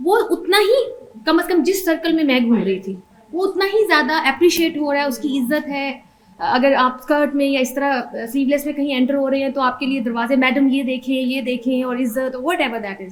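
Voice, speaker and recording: Lively intonation from a woman at high pitch and a moderate pace, over noticeable background noise. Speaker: mother sharing life story. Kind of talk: personal testimony. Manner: hesitant, with fillers.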